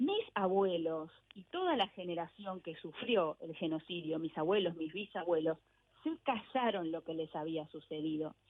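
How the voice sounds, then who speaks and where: Talking at a fairly slow pace, a woman has an ordinary speaking voice, fairly low in pitch with ordinary pitch variation and big swings in loudness. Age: 50s. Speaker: author and journalist. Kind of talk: radio interview.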